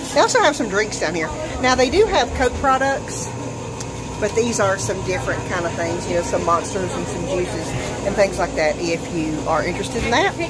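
A woman talks at a fairly quick pace. Loud background noise surrounds her. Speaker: food vlogger. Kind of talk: casual vlog chat. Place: cafe. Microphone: phone near.

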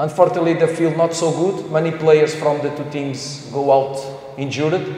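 A man speaks at a moderate pace with a fairly high pitch and a dark, mellow tone. His pitch moves little, and the room echo is audible.

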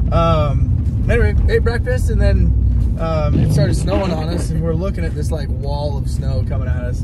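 Loud background noise accompanies a man speaking at a moderate pace with ordinary pitch variation, the sound dry with no echo. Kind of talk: casual vlog chat. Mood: relaxed, cheerful. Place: car. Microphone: phone near.

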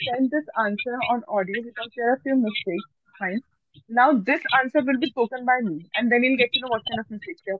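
A woman's high voice at a fairly quick pace, in a dry sound with no echo. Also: quiet background. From India. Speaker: English tutor. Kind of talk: online English lesson. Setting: video call. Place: home room. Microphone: video call.

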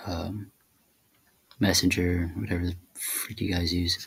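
A man speaks at a fairly slow pace. His pitch is very deep and low. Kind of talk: casual screen-recording tutorial. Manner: flat, monotone.

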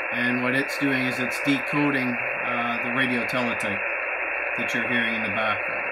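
Speech at a moderate pace is heard over loud background noise. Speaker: amateur radio operator. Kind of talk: demonstration commentary. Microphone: phone near.

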